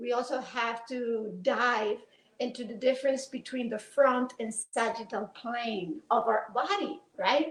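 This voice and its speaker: High-pitched woman with a Spanish accent, at a fairly slow pace with ordinary pitch variation. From Spain. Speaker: pelvic floor rehabilitation professor. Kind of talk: presentation lecture.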